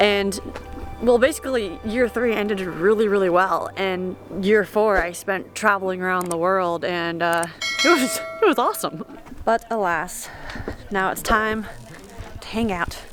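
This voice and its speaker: With music in the background, a woman with an American accent speaks fairly slowly at a medium pitch, using ordinary pitch variation and long, frequent pauses. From United States. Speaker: travel vlogger. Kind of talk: vlog narration to camera. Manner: casual, animated.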